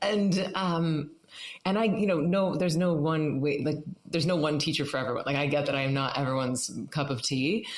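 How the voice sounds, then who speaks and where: A woman speaks with a very deep, low pitch at a fairly quick pace. Her pitch varies in an ordinary way and her loudness stays very even. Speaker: meditation teacher. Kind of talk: interview. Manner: fast; animated.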